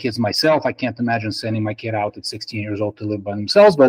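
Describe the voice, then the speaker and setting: A man with a Russian accent speaks at a very fast pace. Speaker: spine surgeon. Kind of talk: interview answers. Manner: halting.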